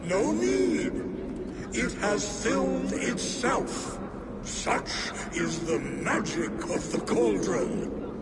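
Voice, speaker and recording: A man does a put-on character voice at a very slow pace. Loud background noise and a clear echo fill the recording. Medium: machinima. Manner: proud, grandiose.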